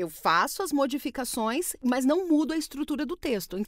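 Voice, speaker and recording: A woman's voice with very wide pitch swings, a dry, close sound with no echo, and noticeable background noise. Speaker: voice actor. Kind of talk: casual talk to camera. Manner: informal, conversational.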